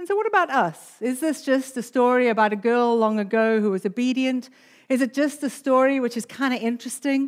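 On a very clean recording with a silent background, a woman talks at a fairly quick pace in a high pitch with ordinary pitch variation. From South Africa. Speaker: pastor. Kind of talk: sermon. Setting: church.

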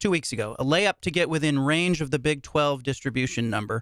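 A man with a fairly high pitch talks at a fairly quick pace in an ordinary speaking voice. The recording is very clean with a silent background, the sound dry and close with no echo. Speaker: podcast host, sports columnist. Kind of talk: interview.

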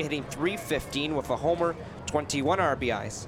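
Music plays in the background as a man talks at a fairly high pitch. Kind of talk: live baseball play-by-play commentary. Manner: clipped, steady and energetic.

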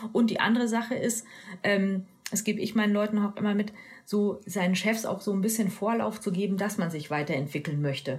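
This woman's voice is somewhat breathy, moving at a fairly quick pace with ordinary pitch variation. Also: medium pitch for a woman. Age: 40s. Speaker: e-commerce executive. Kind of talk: interview.

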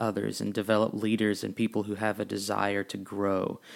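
This is a man talking. His pitch sits fairly low. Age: 20s. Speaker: podcast host. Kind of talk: personal monologue. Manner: frequent filler words.

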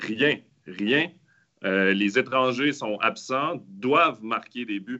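Here a man talks at a very slow pace. His pitch varies in an ordinary way. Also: medium pitch for a man. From Quebec. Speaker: ice hockey analyst. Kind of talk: casual panel discussion.

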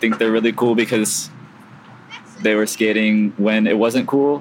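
Speaking with monotone, flat intonation at a moderate pace, a man with a medium pitch and an American accent is heard over noticeable background noise. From US West Coast, San Diego. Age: 20s. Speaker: skateboarder. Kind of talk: casual interview. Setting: outdoors at a skate park. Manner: hesitant, many fillers.

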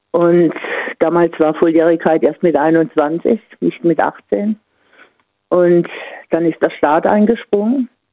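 A woman's fairly low voice at a very slow pace, with long, frequent pauses, very even loudness and ordinary pitch variation. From Offenburg, Baden. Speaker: caller, sports teacher. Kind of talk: casual phone chat. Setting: phone call.

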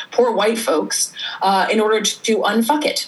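Over noticeable background noise, a woman with an American accent speaks fairly slowly with ordinary pitch variation. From Sweden and North Carolina. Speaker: journalist and artist. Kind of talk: casual interview. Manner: animated, laughs often.

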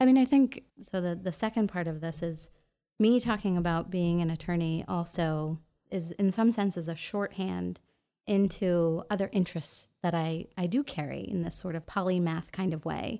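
A woman with an American accent speaks at a fairly low pitch. Her tone is dark and mellow. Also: ordinary pitch variation, moderate pace. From New York City. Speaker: artist and attorney. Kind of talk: casual chat.

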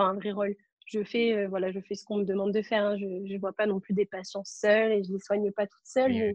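Talking at a fairly quick pace, the woman keeps a monotone, flat intonation at medium pitch while her loudness swings widely. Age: 20s. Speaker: medical student with cystic fibrosis. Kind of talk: interview.

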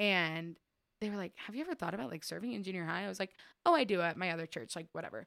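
A woman with a fairly low pitch, vocal fry and lively intonation at a very fast pace, in a dry, close sound with no echo on a very clean recording with a silent background. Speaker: church member sharing testimony. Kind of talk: testimony. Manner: rambling, casual.

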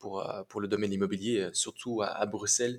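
A man speaks in monotone, flat intonation at a fairly low pitch and a moderate pace. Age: 30s. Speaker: real estate entrepreneur. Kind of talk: interview. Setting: remote call. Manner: halting.

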